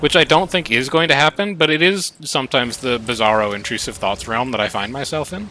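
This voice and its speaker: A man talks in an animated tone with an American accent. Noticeable background noise runs behind him. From US Midwest, near Milwaukee, Wisconsin. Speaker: streamer. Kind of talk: casual chat. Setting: live stream.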